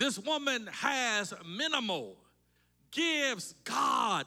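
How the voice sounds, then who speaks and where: Raising and projecting his voice, a man sounds animated, with a bright, sharp tone and lively intonation. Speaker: Baptist preacher. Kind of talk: sermon. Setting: church. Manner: fervent, call-and-response, building in intensity; animated, rhetorical, lists in repeated phrases.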